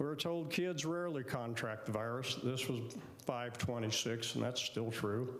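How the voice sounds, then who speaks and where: A man speaks at a fairly slow pace. Audible room echo can be heard around his voice. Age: 70s. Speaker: chiropractor speaking at public comment. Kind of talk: public comment at city meeting. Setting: city commission meeting.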